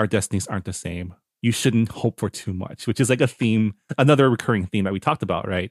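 In a dry, close recording with no echo and a silent background, a man with a fairly low pitch speaks very fast with ordinary pitch variation. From Toronto, Canada. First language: bilingual English and Chinese. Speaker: podcast co-host. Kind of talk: casual book discussion.

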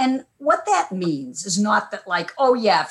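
Her pitch fairly high, a woman speaks at a fairly slow pace with very wide pitch swings. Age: 70s. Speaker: media historian and former radio broadcaster. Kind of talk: casual conversational interview. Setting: video call. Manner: chatty, digressive.

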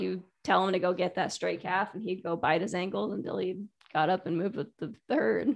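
A woman with an American accent speaks in a medium pitch with vocal fry. Her pace is fairly quick and her intonation lively. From Connecticut. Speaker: dog and horse trainer. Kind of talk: casual chat.

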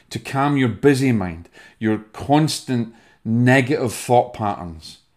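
In a Scottish accent, a man speaks at a medium pitch and a fairly slow pace on a very clean recording with a silent background. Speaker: spiritual medium and podcast host. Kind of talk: motivational talk with breathing instruction.

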